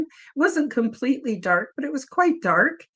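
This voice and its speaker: A woman with lively intonation. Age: 70s. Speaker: author and experiencer of extraterrestrial contact. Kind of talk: interview testimony.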